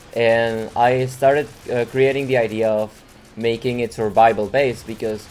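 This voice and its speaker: Someone speaks at a moderate pace with a Mexican accent. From Mexico. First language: Spanish. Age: 20s. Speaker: video game mod developer. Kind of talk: casual monologue to viewers. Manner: halting, many fillers.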